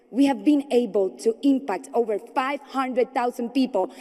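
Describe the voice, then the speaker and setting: Speaking with a Spanish accent, a woman uses a high pitch at a moderate pace. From Colombia. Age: 20s. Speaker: entrepreneur and speaker. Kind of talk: conference speech. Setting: stage with audience. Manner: formal.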